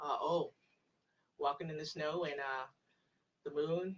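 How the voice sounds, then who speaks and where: Soft-spoken and fairly even in intonation, a woman talks at a fairly slow pace. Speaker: pagan practitioner livestream host. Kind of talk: live stream chat with viewers.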